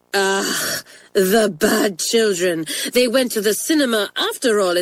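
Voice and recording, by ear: A passage is read aloud in a natural voice. Its pitch shifts in an ordinary way.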